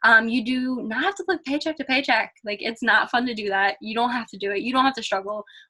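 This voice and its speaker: A woman talking at a very fast pace in an American accent, with a fairly high pitch and an upbeat, animated tone. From Pennsylvania. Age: 20s. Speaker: college student, online business seller. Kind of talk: webinar presentation, sales pitch.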